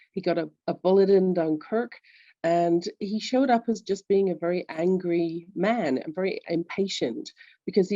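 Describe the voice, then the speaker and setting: In a London accent, a woman speaks at a fairly low pitch. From England, London. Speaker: executive coach. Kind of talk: interview.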